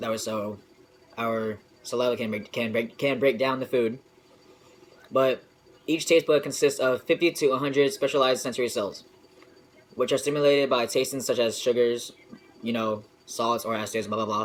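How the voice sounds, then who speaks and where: At a moderate pace with long, frequent pauses, a man talks at medium pitch with fairly even intonation over noticeable background noise. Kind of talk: informal science presentation. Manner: hesitant, casual.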